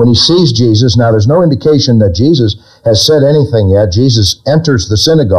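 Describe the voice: Text read aloud plainly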